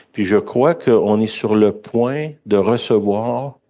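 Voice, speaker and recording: This man speaks very slowly in a Quebec accent, with fairly low pitch and ordinary pitch variation. His tone is dark and mellow, and the background is quiet. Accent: Québécois French. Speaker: preacher. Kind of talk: sermon. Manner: conversational.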